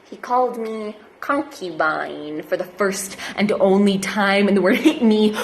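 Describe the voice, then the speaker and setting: Fairly high-pitched female speech against noticeable background noise. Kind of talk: slam poetry performance.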